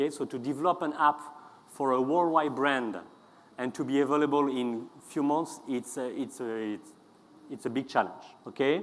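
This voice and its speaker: Pausing long and often, a man talks at a moderate pace in a fairly high voice with ordinary pitch variation. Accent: strong French. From France. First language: French. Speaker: customer experience consultant. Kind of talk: conference talk. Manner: hesitant, with many fillers.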